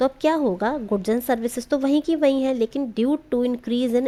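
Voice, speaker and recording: Speaking at a moderate pace, a woman with a high pitch uses ordinary pitch variation. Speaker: teacher. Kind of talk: lecture. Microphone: too quiet.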